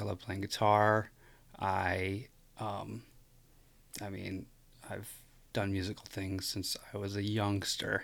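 The speaker has a Midwestern American accent and talks at a very slow pace. The recording is very clean, with a silent background. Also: man. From US Midwest, rural West Michigan. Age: 30s. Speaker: musician and podcast guest. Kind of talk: casual interview conversation. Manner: hesitant, many fillers.

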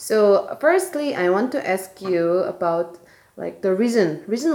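With an ordinary speaking voice at medium pitch, a woman talks at a fairly slow pace with lively intonation. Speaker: podcast host. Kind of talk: interview.

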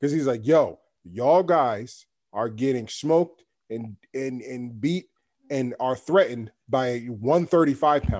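With a New York accent and a dark, mellow tone, a man speaks at a fairly slow pace and with lively intonation in a very clean recording with a silent background. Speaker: podcast host. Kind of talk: casual chat. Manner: animated.

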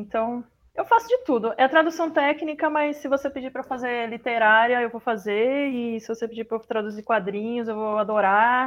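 With a fairly high pitch, a woman talks at a moderate speed. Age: 30s. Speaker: translator. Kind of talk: interview.

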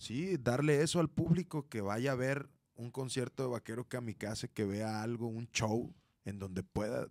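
A man's unremarkable speaking voice, medium in pitch with lively intonation, in a dry, close sound with no echo and a very clean recording against a silent background. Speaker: rock musician. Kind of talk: casual chat.

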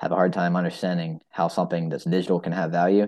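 A man's very deep, low voice in a dark, mellow tone, fairly quick in pace, over a quiet background. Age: 20s. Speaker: bitcoin podcaster. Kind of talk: casual chat.

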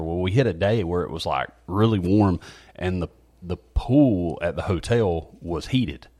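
A man speaks with a Southern US accent. His pitch is very deep and low, with ordinary pitch variation. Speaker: church podcast host. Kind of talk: casual chat.

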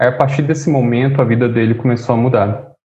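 Somewhat breathy and medium in pitch, a man speaks with fairly even intonation amid audible room echo. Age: 30s. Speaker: political scientist and musician. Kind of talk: casual interview.

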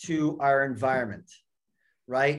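A man at a fairly slow pace with a New York accent. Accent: American (New York area). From New York area, US. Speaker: football academy director. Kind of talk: podcast interview. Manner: halting, many fillers and repeats.

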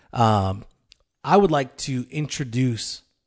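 A man's playful voice at a very slow pace, over a quiet background. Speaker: co-host, elder candidate. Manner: joking, playful.

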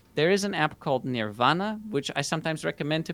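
A man speaks with a Dutch accent and lively intonation. The recording is very clean, with a silent background and a dry, close sound with no echo. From Netherlands. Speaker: productivity YouTuber and course creator. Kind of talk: podcast interview.

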